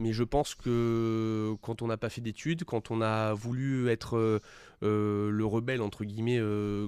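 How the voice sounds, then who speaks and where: Speaking at a fairly slow pace, a man uses a medium pitch, a dark, mellow tone and flat, monotone intonation on a very clean recording with a silent background. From French Riviera (Cannes area, Alpes-Maritimes). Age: 20s. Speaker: young entrepreneur. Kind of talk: interview. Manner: hesitant, many fillers.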